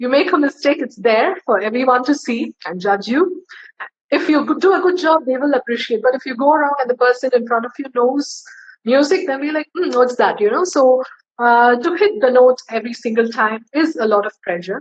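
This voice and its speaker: Music plays in the background as a woman talks at a high pitch. Her pace is fairly quick and her intonation lively. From India. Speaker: singer. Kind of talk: interview.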